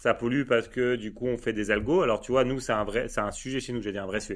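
Very fast speech from a man at medium pitch, fairly even intonation, on a very clean recording with a silent background. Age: 30s. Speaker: data agency founder. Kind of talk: casual interview chat.

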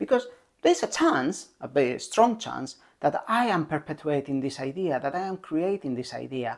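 Moderate-paced speech in a very clean recording with a silent background. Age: 40s. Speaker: parenting advice host. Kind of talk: solo talk to camera. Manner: halting.

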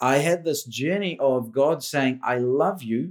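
A New Zealand accent is heard. The voice belongs to a man. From India, raised in New Zealand. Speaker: business and leadership coach. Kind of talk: casual interview chat.

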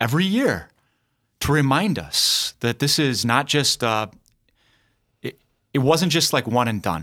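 Speaking at a fairly slow pace with long, frequent pauses, a man uses a bright, sharp tone, a fairly high pitch, very wide pitch swings and vocal fry, captured in a very clean recording with a silent background. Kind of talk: casual chat. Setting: studio. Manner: animated.

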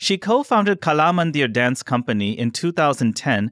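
Very fast speech with very wide pitch swings, dry and close with no echo, in a very clean recording with a silent background. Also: man. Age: 30s. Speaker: podcast host. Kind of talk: scripted introduction; casual chat.

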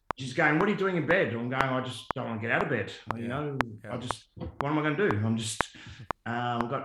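A man with an Australian accent, very fast pace and lively intonation. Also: medium pitch for a man. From Tasmania, Australia. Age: 40s. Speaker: former football player. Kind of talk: casual interview.

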